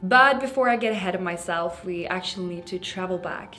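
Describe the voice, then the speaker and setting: A woman talks at a fairly quick pace, her medium-pitched voice showing ordinary pitch variation. Music plays in the background, and the room echo is audible. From Sweden. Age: 20s. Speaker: makeup artist and influencer. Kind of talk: scripted narration.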